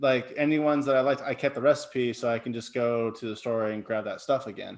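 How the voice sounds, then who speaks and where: Speaking at a fairly quick pace, a man has a plain, everyday voice. His intonation is fairly even. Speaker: podcast co-host. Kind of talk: casual chat.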